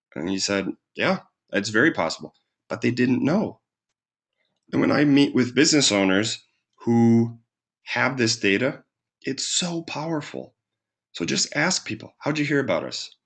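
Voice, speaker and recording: With lively intonation and vocal fry, a man speaks with long, frequent pauses. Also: medium pitch for a man, moderate pace. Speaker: marketing consultant. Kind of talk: webinar presentation. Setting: webinar.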